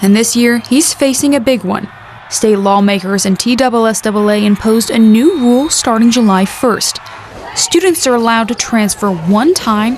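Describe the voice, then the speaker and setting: A woman's fairly high voice carries lively intonation at a moderate pace amid noticeable background noise. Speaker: sports broadcaster, sideline reporter. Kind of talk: sports broadcast reporting.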